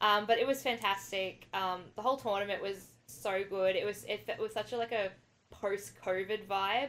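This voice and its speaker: Speaking in an Australian accent at a moderate pace, a woman has a medium pitch and ordinary pitch variation, on a very clean recording with a silent background. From Australia, New South Wales. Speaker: tennis forum moderator and fan. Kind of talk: casual podcast chat.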